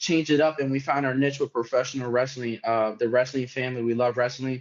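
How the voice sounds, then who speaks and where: With an American accent, a man talks at a fairly quick pace in an ordinary speaking voice with fairly even intonation. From New York City (Bronx). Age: 20s. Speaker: social media wrestling content creator. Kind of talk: podcast interview.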